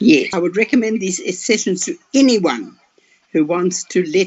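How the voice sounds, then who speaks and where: This woman talks at a fairly slow pace. Her pitch swings very widely. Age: 80s+. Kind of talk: testimonial interview answer.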